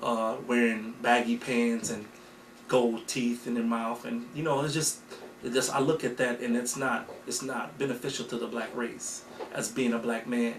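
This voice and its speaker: Man in an American accent, monotone, flat intonation and moderate pace, with audible room echo and noticeable background noise. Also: medium pitch for a man. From US Midwest, Racine, Wisconsin. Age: 30s. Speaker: keynote speaker, community member. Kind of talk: interview. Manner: halting, many fillers and repeats.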